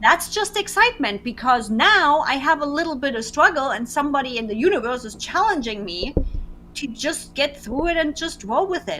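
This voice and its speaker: A raised, projected voice with very wide pitch swings. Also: woman, high pitch for a woman, moderate pace. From Germany. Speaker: web designer and business coach. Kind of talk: casual interview.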